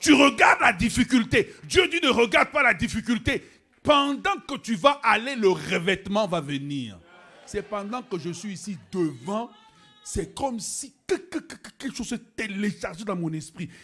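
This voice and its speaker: The voice is raised and projected, bright, sharp and animated. Pitch swings very widely at a fairly slow pace. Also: man, high pitch for a man. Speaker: pastor. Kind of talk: sermon. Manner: animated, emphatic preaching.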